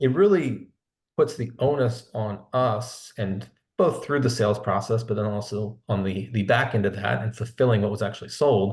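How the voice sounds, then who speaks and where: A man with a slight Philadelphia accent talks at medium pitch and a moderate pace, somewhat breathy. His pitch varies in an ordinary way, and the background is quiet. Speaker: sales executive. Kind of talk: webinar interview. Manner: conversational, with frequent repetitions.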